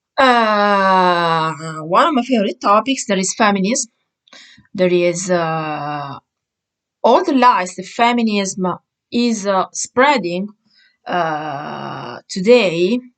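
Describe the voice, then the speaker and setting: A woman with an Italian accent speaks at medium pitch with lively intonation. Her pace is very slow, broken by long, frequent pauses. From Italy. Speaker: vlogger. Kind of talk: opinion monologue. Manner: halting, many fillers.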